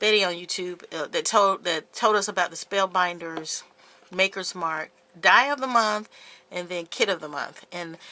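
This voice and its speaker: A woman speaks at a moderate pace with an unremarkable speaking voice, medium pitch, ordinary pitch variation, and big swings in loudness. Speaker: craft YouTuber. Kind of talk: casual haul video.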